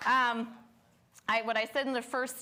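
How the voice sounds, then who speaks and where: A loud woman's voice, bright and sharp in tone, at a moderate pace. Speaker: lecture series host and curator. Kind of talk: live event introduction. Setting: stage with live audience and live stream. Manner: animated.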